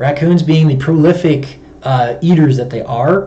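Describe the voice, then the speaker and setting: A man is talking. There is ordinary pitch variation in his voice. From US Midwest, Chicago. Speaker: wildlife control operator and streamer. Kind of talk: live stream talk. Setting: home livestream with webcam microphone. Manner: fast talker.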